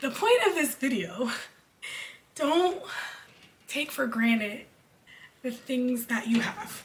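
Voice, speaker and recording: Against noticeable background noise, a woman with a high voice talks at a very slow pace, leaving long, frequent pauses. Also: lively intonation. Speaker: musical theater graduate, church singer. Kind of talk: casual talk to camera.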